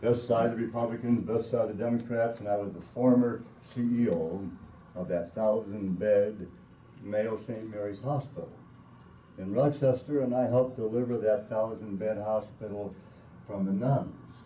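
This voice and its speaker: Through audible room echo, a man talks at a moderate pace in a medium pitch with fairly even intonation. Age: 70s. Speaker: gubernatorial candidate. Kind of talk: press conference speech. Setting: press conference.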